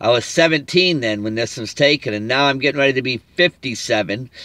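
In a dry recording with a quiet background and no echo, a man speaks at a moderate pace in a bright, sharp tone with lively intonation. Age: 50s. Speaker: evangelist vlogger; religious vlogger. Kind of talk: religious monologue. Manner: halting. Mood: earnest, preachy. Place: car. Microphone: phone near.

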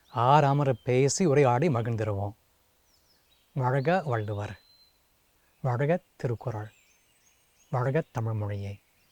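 A man with an English accent, the sound dry and close with no echo. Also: medium pitch for a man, ordinary pitch variation. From US, Seattle. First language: English (speaking Tamil). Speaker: translator and Tamil scholar. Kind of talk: prepared video greeting.

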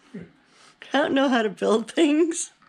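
A woman speaks high in her range, her intonation lively. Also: fairly slow pace.

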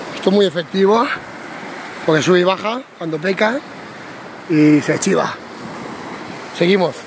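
At a moderate pace with long, frequent pauses, the speech has a dry sound with no echo and noticeable background noise. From Spain, Alicante; Spain. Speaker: amateur angler vlogger. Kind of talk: casual vlog narration. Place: beach. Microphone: phone near.

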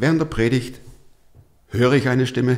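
Speaking at a moderate pace, a man with a Swabian accent uses a medium pitch. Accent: Swabian, still audible. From Stuttgart, Swabia; Swabia, Germany. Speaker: podcast host, pastor and former radio presenter; podcast host, pastor, radio presenter. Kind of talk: interview, telling his life story. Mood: lively storytelling, fervent appeal. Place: studio. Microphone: studio mic.

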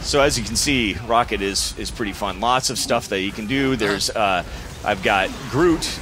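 Noticeable background noise sits behind a man speaking at a moderate pace and medium pitch with ordinary pitch variation. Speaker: game developer. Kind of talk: gameplay demo interview. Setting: studio. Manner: halting.

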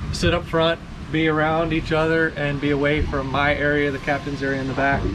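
Against noticeable background noise, a man talks at a fairly quick pace in a monotone, flat intonation. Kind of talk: casual boat walkthrough tour. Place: boat.

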